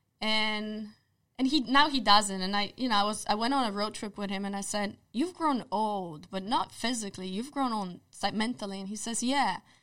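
On a very clean recording with a silent background, a woman with a Polish accent talks at a moderate pace, her fairly high pitch carrying a bright, sharp tone and ordinary pitch variation. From Poland. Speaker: social psychologist. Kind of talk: casual interview.

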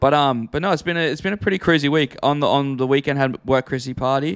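A man with an Australian accent at a medium pitch, talking at a very fast pace, dry and close with no echo, over a very clean recording and silent background. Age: 20s. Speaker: podcast co-host and radio presenter. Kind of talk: casual chat.

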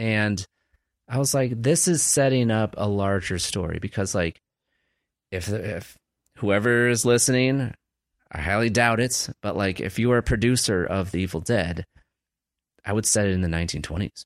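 A man's fairly low voice at a moderate pace, with ordinary pitch variation, long and frequent pauses, and a dry, close sound with no echo. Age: 30s. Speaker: film podcast host. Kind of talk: casual chat. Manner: animated.

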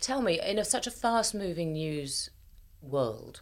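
A woman with a British accent speaks at a moderate pace, her pitch swinging very widely. The recording is very clean, with a silent background. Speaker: podcast host, actor. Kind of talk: casual interview chat.

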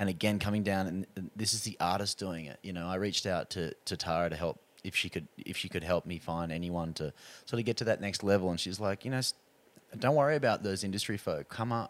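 Very fast and very deep, a man speaks in an Australian accent with ordinary pitch variation. The recording is very clean, with a silent background. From Australia (Sydney, New South Wales). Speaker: singer. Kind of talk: casual chat.

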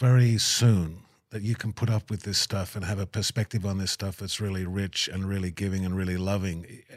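A man's fairly low voice in an Australian accent, on a very clean recording with a silent background. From Australia, Tamworth. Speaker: podcast host, aid worker. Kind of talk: interview conversation.

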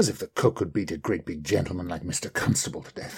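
This man uses a shrill, put-on character voice. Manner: indignant, ranting.

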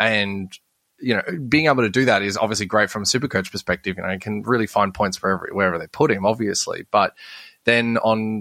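In an Australian accent, a man with a fairly low pitch and a bright, sharp tone talks at a fairly quick pace with ordinary pitch variation, on a very clean recording with a silent background and a dry, close sound with no echo. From Sydney, Australia. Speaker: fantasy sports podcaster. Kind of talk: casual chat.

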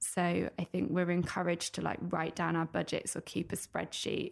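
A woman with a British accent talks at a medium pitch and a moderate pace in a very clean recording with a silent background. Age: 30s. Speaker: author and personal finance influencer. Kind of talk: interview.

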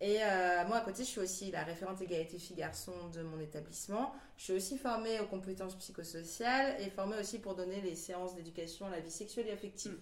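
A woman at medium pitch and a very fast pace, with ordinary pitch variation, hardly any pauses, audible room echo and noticeable background noise. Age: 30s. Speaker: teacher and artist. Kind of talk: casual interview.

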